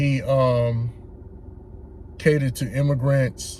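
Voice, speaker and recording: Speaking in a flat monotone, a man talks with an American accent. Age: 60s. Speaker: political commentator. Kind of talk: casual monologue. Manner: halting.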